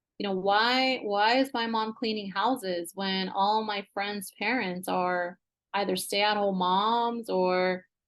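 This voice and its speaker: In a Spanish accent, a woman speaks at a very slow pace with a medium pitch and fairly even intonation. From US West Coast (Central Coast of California). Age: 40s. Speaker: business executive and entrepreneur. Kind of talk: interview conversation.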